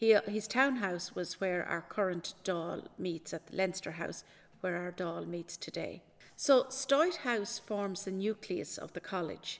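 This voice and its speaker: Speaking fairly slowly, a woman with an Irish accent uses a medium pitch. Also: ordinary pitch variation. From Ireland, County Kildare. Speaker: senior library assistant. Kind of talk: interview.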